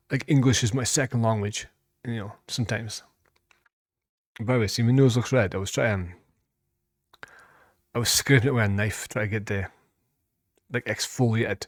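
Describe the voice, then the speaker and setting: A man with a Scottish accent speaks at medium pitch and a moderate pace. His intonation is fairly even, broken by long, frequent pauses. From Scotland. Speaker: music reaction youtuber. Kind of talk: casual chat. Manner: halting.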